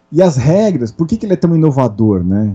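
Lively intonation from a man with a dark, mellow tone at a moderate pace. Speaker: RPG event coordinator. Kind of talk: casual chat. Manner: animated.

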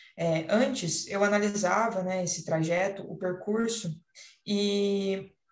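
Her voice is somewhat breathy, a woman speaking at a medium pitch with ordinary pitch variation. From São Paulo state, Paraíba Valley (Caçapava). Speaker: architecture student. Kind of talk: student podcast presentation. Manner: hesitant, many fillers.

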